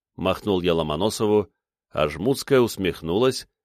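Lively intonation shapes natural-voiced reading aloud over a quiet background.

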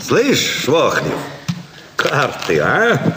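A put-on character voice with a bright, sharp tone moves through very wide pitch swings. The pace is very slow, and room echo is audible. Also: man, medium pitch for a man.

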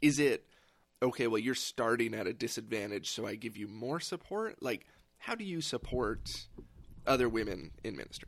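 A man with vocal fry talks at a moderate pace, using lively intonation. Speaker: podcast host. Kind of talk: casual chat.

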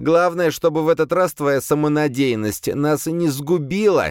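This is a put-on character voice, delivered with growling. The pace is moderate. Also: man, fairly high pitch for a man.

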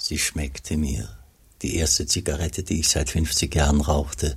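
A man's put-on character voice, extremely low in pitch with vocal fry, fairly even intonation and a fairly slow pace.

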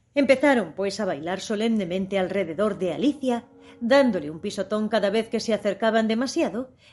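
A natural reading voice goes on with pitch that shifts by ordinary amounts.

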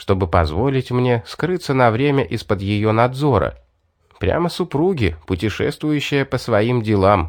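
A quiet background surrounds this plain reading aloud.

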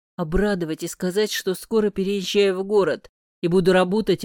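The surroundings are quiet. A natural reading voice keeps its intonation fairly even.

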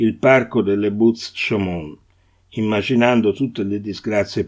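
Fairly even intonation in a natural reading voice

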